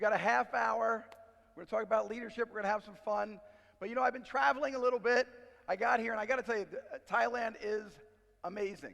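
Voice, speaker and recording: Over background music, a man with a high voice talks at a very fast pace, his loudness swinging widely. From New York. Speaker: business speaker. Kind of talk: conference keynote. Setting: stage with audience. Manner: animated.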